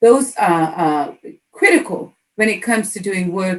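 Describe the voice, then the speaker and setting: This is a plain, everyday voice. It moves at a moderate pace with lively intonation. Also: woman. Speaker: interviewer, education equity host. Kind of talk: interview question.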